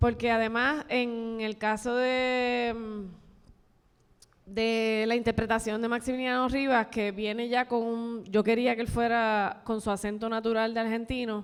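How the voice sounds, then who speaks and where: A woman's fairly high pitch, fairly slow pace and monotone, flat intonation. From Puerto Rico, Barranquitas. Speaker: film director and screenwriter. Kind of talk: panel talk with audience. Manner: halting, with repetitions.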